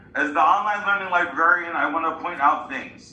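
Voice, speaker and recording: Noticeable background noise and audible room echo surround the audio. The voice belongs to a man. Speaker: librarian. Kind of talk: class presentation.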